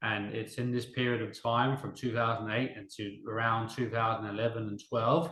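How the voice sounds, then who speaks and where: A man at a medium pitch with an English accent, speaking at a moderate pace. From Denmark, half English. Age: 30s. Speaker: interviewee, small business owner. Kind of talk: interview testimony.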